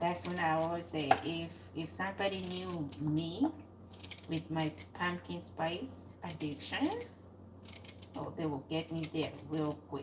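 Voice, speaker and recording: A woman mumbles at a very slow pace with a very deep, low voice and lively intonation, pausing long and often over noticeable background noise. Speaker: cooking channel host. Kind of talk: casual live cooking chat. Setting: home kitchen. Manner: mumbling.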